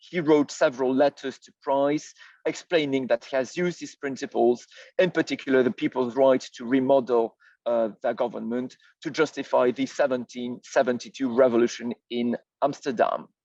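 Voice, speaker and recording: A man with a French accent speaks at a medium pitch and a moderate pace, with fairly even intonation. His loudness swings widely against a quiet background. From France. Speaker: historian. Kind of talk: lecture. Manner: halting, many fillers.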